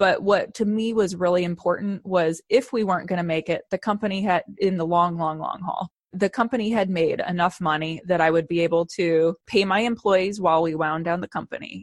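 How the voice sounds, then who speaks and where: A woman speaks at a medium pitch with fairly even intonation and hardly any pauses. The sound is dry and close, with no echo. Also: fairly quick pace. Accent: American. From US Midwest. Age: 30s. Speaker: company founder and CEO. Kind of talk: interview.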